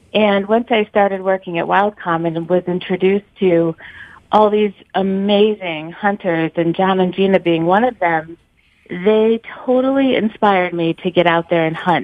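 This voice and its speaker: Using a plain, everyday voice with an American accent, a woman speaks at medium pitch and a moderate pace, with ordinary pitch variation and very even loudness. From New York City. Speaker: caller, outdoor media worker. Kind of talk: casual chat. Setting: phone call.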